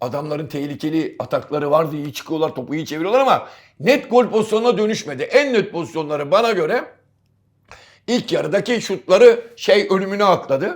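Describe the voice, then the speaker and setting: On a very clean recording with a silent background, a man speaks at a fairly quick pace in an animated tone, his high voice making very wide pitch swings. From Istanbul, Turkey. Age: 60s. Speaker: football pundit. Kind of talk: casual chat.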